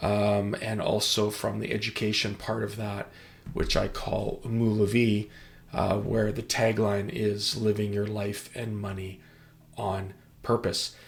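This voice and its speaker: A man speaks at a fairly low pitch and a fairly slow pace. His voice is somewhat breathy and flat, with monotone intonation. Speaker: financial planner and musician. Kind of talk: presentation walkthrough. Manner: hesitant, many fillers.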